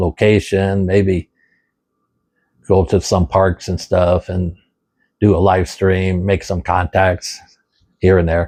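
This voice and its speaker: Dry and close with no echo, a man's voice sits at a very deep, low pitch with a dark, mellow tone. He speaks at a fairly slow pace. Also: quiet background. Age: 70s. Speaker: ham radio video creator. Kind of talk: casual talk to camera while cooking. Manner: halting, many fillers.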